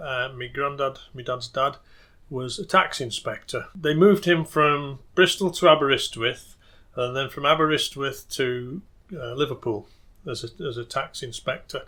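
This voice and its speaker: In a Lancashire accent, a man speaks at a moderate pace with a fairly high pitch and ordinary pitch variation. His loudness swings a lot, and the recording is very clean with a silent background. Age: 60s. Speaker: folk musician and local historian. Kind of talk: interview. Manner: halting.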